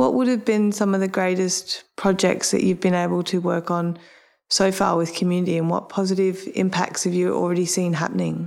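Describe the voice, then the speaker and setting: In a normal speaking voice, a woman talks at a fairly quick pace and a medium pitch, with fairly even intonation and very even loudness on a very clean recording with a silent background. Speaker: interviewer. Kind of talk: casual interview chat.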